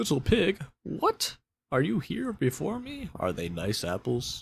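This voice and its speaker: A man's put-on character voice at medium pitch and a fairly slow pace. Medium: read story. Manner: sly, coaxing.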